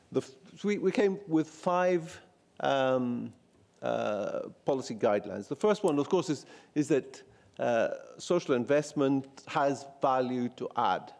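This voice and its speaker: A man with a Greek accent speaks with a fairly high pitch and lively intonation. His pace is fairly slow, with long, frequent pauses. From Greece. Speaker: policy researcher presenting findings. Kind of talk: conference presentation. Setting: event at the European Parliament. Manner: halting, many fillers and restarts.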